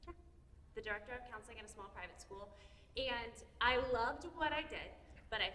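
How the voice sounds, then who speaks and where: In audible room echo, a woman speaks with lively intonation at a fairly high pitch. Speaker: therapist. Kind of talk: presentation to parents. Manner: loud; fast.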